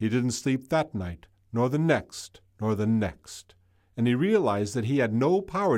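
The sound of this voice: The speaker uses an unforced reading voice. The intonation is lively.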